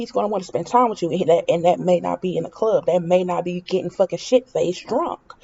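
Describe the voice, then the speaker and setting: Hers is an unremarkable speaking voice at medium pitch. The woman talks at a fairly quick pace. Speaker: reality TV commentator. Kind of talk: casual opinion vlog.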